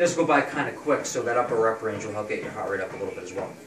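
A man speaks with music in the background. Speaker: personal trainer. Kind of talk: tutorial. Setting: gym. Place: gym. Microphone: camera far.

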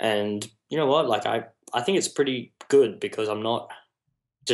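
This is a man speaking. He has an Australian accent. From Australia, New South Wales south coast. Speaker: music videographer and photographer. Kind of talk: interview conversation. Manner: articulate.

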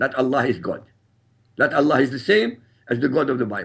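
A man talks with vocal fry. The background is quiet. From Iraq. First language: Arabic. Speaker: author and critic of Islam. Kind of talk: interview. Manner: formal. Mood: firm, assertive. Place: studio. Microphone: lapel.

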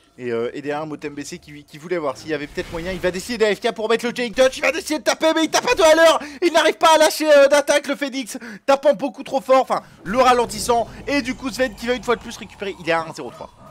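A man's extremely high voice, very fast, with very wide pitch swings, big shifts in loudness and noticeable background noise. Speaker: gaming commentator. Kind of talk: live game commentary, casual and joking. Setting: stream / recorded gameplay commentary. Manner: joking, ironic, casual.

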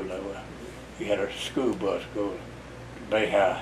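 With an American accent, a man speaks at a fairly low pitch against noticeable background noise. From US South, Florida Panhandle (West Bay); Florida. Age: 80s+. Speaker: retired road builder and local elder; interviewee. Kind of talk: oral history interview. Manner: halting. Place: home room.

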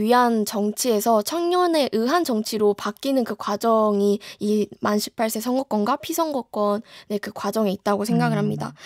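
The pace is fairly slow. The sound is dry with no echo, over a quiet background. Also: woman. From South Korea. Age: young. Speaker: student political campaign co-chair. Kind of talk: radio interview. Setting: studio. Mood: calm, polite, thoughtful. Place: studio. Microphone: studio mic.

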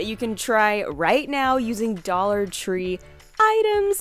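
A woman speaks at a fairly slow pace with music in the background and a dry sound with no echo. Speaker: narrator of craft channel. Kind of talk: tutorial voice-over narration.

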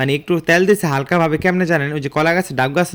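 A man with a central Bangladeshi accent speaks with fairly even intonation. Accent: Munshiganj regional dialect. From Bangladesh, Munshiganj. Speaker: vlogger. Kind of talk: casual vlog narration. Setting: rural home, outdoors by the stove.

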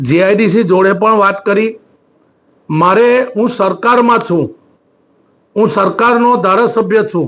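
Speaking at a high pitch, a man keeps very even loudness and ordinary pitch variation. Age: 60s. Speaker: politician. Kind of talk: news interview. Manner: halting.

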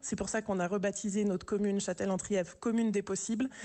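A woman talks at a very fast pace in a dark, mellow tone with fairly even intonation. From urban France. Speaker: village mayor; village mayor, radio guest. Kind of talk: radio interview. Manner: hesitant, many repetitions. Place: studio.

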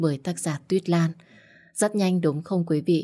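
A woman's fairly low pitch and dark, mellow tone at a fairly slow pace, with ordinary pitch variation and a quiet background. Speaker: audiobook narrator. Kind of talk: friendly spoken intro to listeners. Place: studio. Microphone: studio mic.

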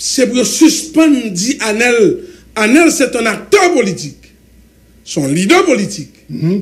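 Speaking at an extremely high pitch, a man moves at a very slow pace, with very wide pitch swings and long, frequent pauses. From Haiti. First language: Haitian Creole (speaking French). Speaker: government supporter; guest. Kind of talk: heated debate. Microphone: studio mic.

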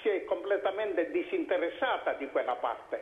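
A man's voice at a moderate pace, with audible room echo. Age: 80s+. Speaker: talk show guest. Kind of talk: political debate. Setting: phone call. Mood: critical, argumentative. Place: studio. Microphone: lapel.

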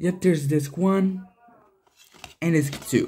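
A man's dark, mellow voice at a fairly high pitch, slow in pace, with ordinary pitch variation

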